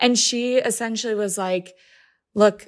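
In a very clean recording with a silent background, a woman with a plain, everyday voice talks at a moderate pace with fairly even intonation. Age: 20s. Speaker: patient advocate. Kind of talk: interview.

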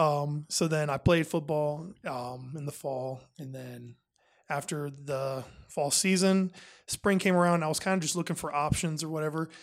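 A man with an American accent speaks in an ordinary speaking voice, fairly high-pitched, at a moderate pace. His intonation stays fairly even, and the recording is very clean with a silent background. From northwest Ohio, US. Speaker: rugby player. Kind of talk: interview.

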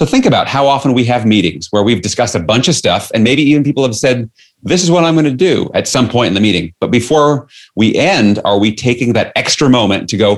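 In an ordinary speaking voice with an American accent, a man talks at a medium pitch and a fairly quick pace with lively intonation. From New York City. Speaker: leadership author and coach. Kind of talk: interview.

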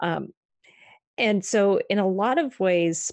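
A woman at medium pitch with an American accent and lively intonation, against a quiet background. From US Northeast, Maine. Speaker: psychologist. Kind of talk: interview.

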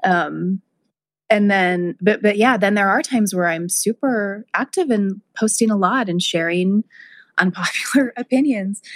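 A woman with a normal speaking voice talks at a fairly slow pace and medium pitch, with ordinary pitch variation. The sound is dry and close with no echo, a very clean recording with a silent background. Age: 40s. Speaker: podcast host and herbalist. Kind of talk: casual chat.

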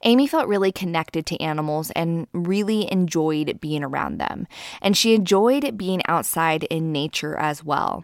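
A woman at a moderate pace, fairly low in pitch, with lively intonation and hardly any pauses, on a very clean recording with a silent background. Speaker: true crime podcast host. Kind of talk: scripted narration.

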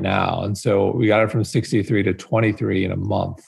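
Speaking at a fairly quick pace, a man uses a fairly low pitch with vocal fry and fairly even intonation. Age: 40s. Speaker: wellness media founder. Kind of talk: interview. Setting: video call.

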